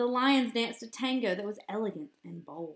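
A woman at a moderate pace, fairly high in pitch, with lively intonation

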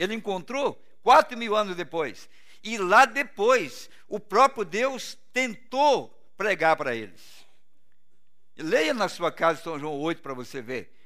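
Against a quiet background, a man with a high pitch and a bright, sharp tone speaks in a raised, projected voice at a very slow pace, with very wide pitch swings and big swings in loudness. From Brazil. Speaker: pastor. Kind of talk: sermon. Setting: church. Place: church.

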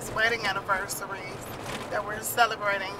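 A woman over loud background noise. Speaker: family vlogger. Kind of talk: casual vlog chat. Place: car. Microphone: phone near.

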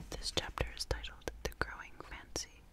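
A woman is whispering. Her pace is moderate. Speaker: ASMR narrator. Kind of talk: ASMR history reading. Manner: whispered, soft-spoken. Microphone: studio mic.

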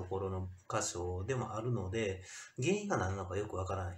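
A man is speaking. There is audible room echo in the recording. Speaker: vlogger. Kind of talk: casual vlog complaint monologue. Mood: aggrieved, complaining. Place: home room. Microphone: phone near.

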